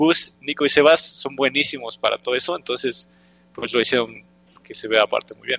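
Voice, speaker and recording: A man talks at a fairly quick pace with fairly even intonation and a fairly high pitch. It is an ordinary speaking voice. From Mexico. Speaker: video game developer. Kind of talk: interview. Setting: live stream.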